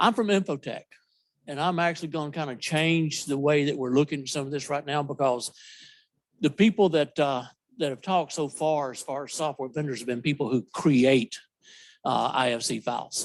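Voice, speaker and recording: Against a quiet background, a man with a Southern US accent talks at a moderate pace in a fairly high voice with ordinary pitch variation. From US South. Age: old. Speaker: software company representative. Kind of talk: conference presentation. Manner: loud.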